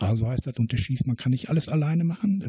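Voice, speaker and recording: Dark, mellow, somewhat breathy male voice in a dry, close sound with no echo. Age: 60s. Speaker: retired miner and blaster. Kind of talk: interview.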